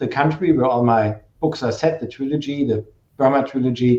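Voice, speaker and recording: Speaking with a strong German accent, a man talks at a fairly quick pace in a medium-pitched voice with a dark, mellow tone. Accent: heavy German. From Germany. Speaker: novelist, former journalist. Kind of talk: virtual author talk.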